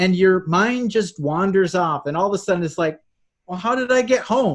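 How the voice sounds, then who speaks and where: Pitch sits high for this man, varying in an ordinary way. He keeps a moderate pace. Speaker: hypnotherapist. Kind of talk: interview answer.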